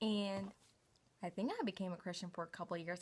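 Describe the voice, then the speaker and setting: A woman speaks with a Southern US accent and fairly even intonation on a very clean recording with a silent background. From US South, Knoxville, Tennessee. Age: 20s. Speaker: vlogger. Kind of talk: casual personal vlog. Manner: casual, filler-heavy.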